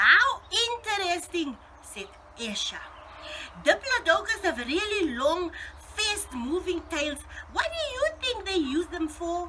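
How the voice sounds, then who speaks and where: The voice is raised and projected, moving at a fairly slow pace with very wide pitch swings. Long, frequent pauses break it up. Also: woman, extremely high pitch for a woman. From South Africa. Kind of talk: children's story reading.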